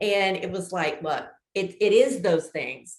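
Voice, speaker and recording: This woman sounds animated. Her tone is lively throughout. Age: 60s. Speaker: business coach. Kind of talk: interview. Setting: podcast.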